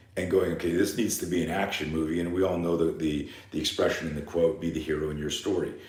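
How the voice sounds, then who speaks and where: Barely pausing at all, a man with a very deep, low pitch rushes along at a very fast pace amid audible room echo. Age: 60s. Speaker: fear management coach and self-defense instructor. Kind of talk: live seminar talk. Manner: animated.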